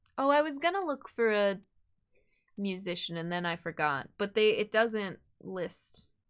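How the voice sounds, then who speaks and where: A woman with an American accent talks at a fairly slow pace, using an unremarkable speaking voice and medium pitch. Her intonation is lively, and the recording is very clean with a silent background. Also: big swings in loudness. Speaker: streamer. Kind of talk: live gameplay commentary.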